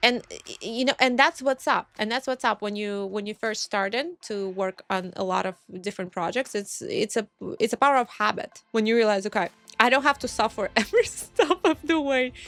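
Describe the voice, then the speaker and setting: Over music in the background, a woman with a Russian accent talks at a fairly quick pace in a fairly high, lively voice, the sound dry and close with no echo. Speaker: pixel artist. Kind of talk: casual commentary. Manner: halting.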